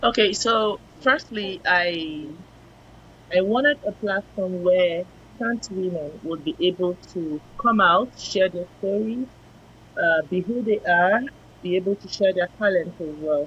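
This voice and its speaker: The speaker goes at a fairly slow pace with ordinary pitch variation. Noticeable background noise runs underneath. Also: woman, medium pitch for a woman. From Nigeria. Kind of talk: interview.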